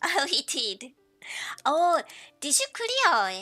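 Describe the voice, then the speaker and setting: With a Japanese accent, the speaker uses a bright, sharp tone at a very slow pace. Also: woman. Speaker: game streamer. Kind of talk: casual live stream chat. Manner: halting.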